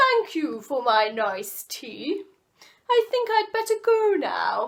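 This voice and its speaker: Speaking at a very slow pace, a woman puts on a character voice at an extremely high pitch. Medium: read story. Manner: polite.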